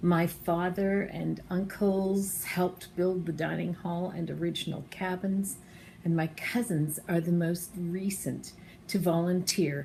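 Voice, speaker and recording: A woman talks at a fairly slow pace in a fairly low, somewhat breathy voice, dark and mellow in tone, with fairly even intonation. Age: 60s. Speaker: campground supporter sharing memories. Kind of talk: personal testimony, prepared remarks.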